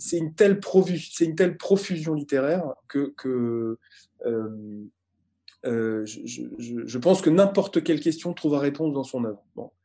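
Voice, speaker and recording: A man with a fairly high pitch and a dark, mellow tone speaks at a very slow pace with long, frequent pauses. His intonation is lively, and the background is quiet. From France. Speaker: communications executive. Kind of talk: interview conversation. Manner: halting, frequent repetitions.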